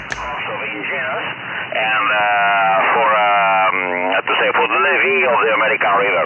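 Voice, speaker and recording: With noticeable background noise and audible room echo, a man speaks at a moderate pace. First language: Italian. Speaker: geologist, ham radio operator. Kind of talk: casual chat. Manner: halting.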